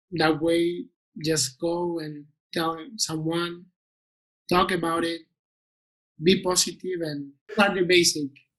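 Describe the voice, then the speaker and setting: Speaking at a very slow pace, a high-pitched man talks with a Spanish accent. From Spain. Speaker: interview guest. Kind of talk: interview podcast. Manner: halting.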